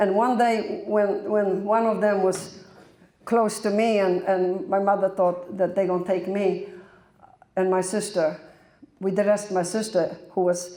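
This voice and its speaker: A woman with a Polish accent, monotone and flat, at a fairly slow pace amid audible room echo. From Poland, German family. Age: 80s+. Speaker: Holocaust-era war survivor. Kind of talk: testimony. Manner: halting.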